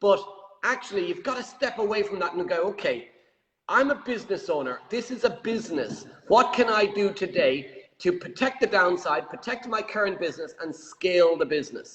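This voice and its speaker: With an Irish accent, a man with a high voice speaks at a moderate pace and lively intonation. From Ireland. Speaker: property show host. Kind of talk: interview.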